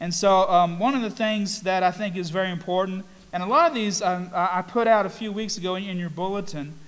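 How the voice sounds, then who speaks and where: Through audible room echo, a man speaks at a high pitch and a moderate pace with fairly even intonation. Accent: Southern US. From US South, North Carolina. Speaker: pastor. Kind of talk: sermon. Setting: church. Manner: halting, many fillers and repeats.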